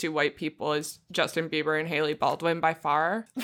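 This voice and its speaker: In a very clean recording with a silent background, a woman with a fairly low pitch speaks in a bright, sharp, animated tone. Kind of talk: casual comedic banter. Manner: animated, joking, laughs a lot.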